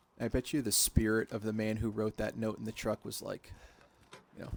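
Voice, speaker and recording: Vocal fry runs through a man's medium-pitched voice. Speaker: gaming streamer. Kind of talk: gameplay commentary. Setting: at home at night. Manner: soft-spoken.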